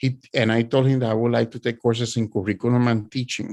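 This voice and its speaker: At a moderate pace and medium pitch, a man talks with a strong Spanish accent against a quiet background. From Puerto Rico. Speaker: author and art educator. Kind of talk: presentation. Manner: halting.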